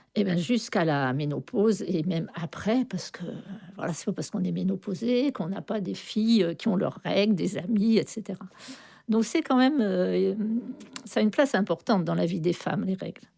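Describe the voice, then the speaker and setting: The voice has a dark, mellow tone with vocal fry and lively intonation. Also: woman, medium pitch for a woman, moderate pace. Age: 70s. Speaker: retired midwife, association member. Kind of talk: radio interview talk. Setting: radio studio, live broadcast.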